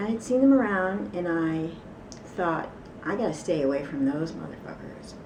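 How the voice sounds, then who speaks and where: A woman speaks at a fairly low pitch and a moderate pace, her pitch swinging very widely. Noticeable background noise and audible room echo are present. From New York City. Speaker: ex-cult member. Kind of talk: interview testimony.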